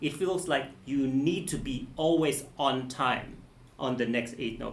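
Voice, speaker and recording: Audible room echo around a man, his pitch varying in an ordinary way. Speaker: music teacher giving a masterclass. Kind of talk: masterclass teaching.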